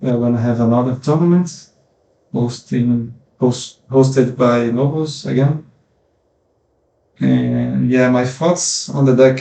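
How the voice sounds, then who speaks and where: Very slow speech comes from a man with a dark, mellow tone. His pitch is medium, with ordinary pitch variation. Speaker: gaming content creator. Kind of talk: gameplay commentary. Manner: halting, many fillers.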